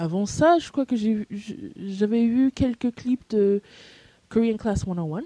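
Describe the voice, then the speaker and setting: Speaking at a very slow pace, a woman uses a dark, mellow tone and lively intonation in a dry, close sound with no echo. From USA. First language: English (speaking French). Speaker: language learner vlogger. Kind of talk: casual video message. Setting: audio-only recording into a microphone. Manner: halting, many fillers.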